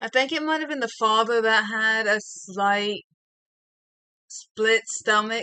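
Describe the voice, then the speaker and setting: A woman's bright, sharp, fairly high voice, mumbling at a very slow pace with long, frequent pauses. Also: ordinary pitch variation. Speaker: streamer and digital artist. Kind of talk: casual chat while drawing. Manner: soft-spoken, quiet. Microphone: voice coming through quiet.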